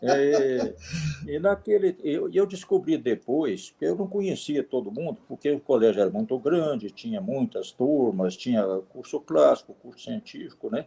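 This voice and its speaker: Here a man speaks fairly slowly in a fairly high pitch. His tone is dark and mellow, with very wide pitch swings. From Minas Gerais, Brazil (Divinópolis). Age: 70s. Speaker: retired electrical engineer and volunteer. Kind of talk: interview conversation. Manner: halting, with filler words.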